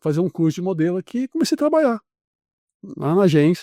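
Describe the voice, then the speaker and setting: A man speaks in a high voice with very wide pitch swings at a very fast pace. His tone is dark and mellow, and the sound is dry and close with no echo. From Brazil, São Paulo state (Vale do Paraíba). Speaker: actor and artist. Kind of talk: casual interview chat. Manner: animated storytelling.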